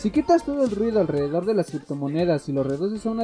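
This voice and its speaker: A very fast pace and a dry, close sound without any echo. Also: man. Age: 20s. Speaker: solo podcaster. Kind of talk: casual solo explainer. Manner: halting, self-correcting.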